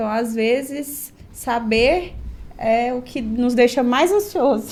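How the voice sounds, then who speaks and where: A woman's high voice at a very slow pace with ordinary pitch variation. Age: 30s. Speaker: doctor. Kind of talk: podcast interview.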